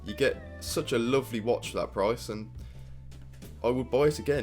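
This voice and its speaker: A man with a British accent speaks with long, frequent pauses. Music plays in the background. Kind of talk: casual product review to camera.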